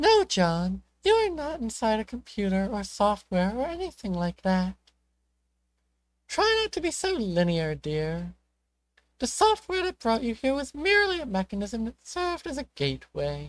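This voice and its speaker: A woman's put-on character voice, fairly high in pitch, on a very clean recording with a silent background. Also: moderate pace. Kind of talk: fan reading of a webcomic. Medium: read story. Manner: doting, old-fashioned, chuckling.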